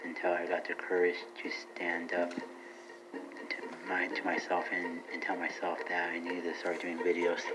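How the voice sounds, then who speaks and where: A man speaks at a fairly slow pace. Music plays in the background, and the room echo is audible. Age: 30s. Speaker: podcaster and vlogger. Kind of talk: casual monologue.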